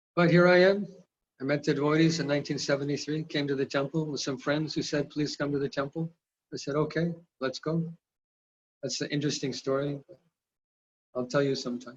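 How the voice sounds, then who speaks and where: A man's somewhat breathy, fairly high voice in an American accent, fairly even in intonation and fairly quick in pace, with long, frequent pauses. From California, US. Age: 60s. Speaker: spiritual teacher. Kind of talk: lecture; personal testimony.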